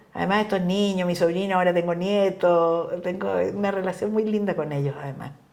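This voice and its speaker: There is audible room echo as a woman talks at a fairly quick pace in a medium pitch. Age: 70s. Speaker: feminist politician. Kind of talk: casual chat. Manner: animated.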